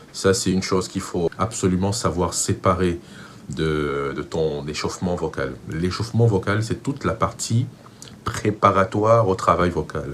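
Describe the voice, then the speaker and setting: In a Cameroonian accent, a man speaks with a very deep, low pitch. His pace is fairly slow and his intonation lively. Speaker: vocal coach. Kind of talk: tutorial.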